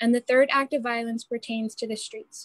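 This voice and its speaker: A woman's fairly high, monotone, flat voice at a fairly quick pace, with a dry, close sound and no echo. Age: 18. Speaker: student writer. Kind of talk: reading aloud. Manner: formal.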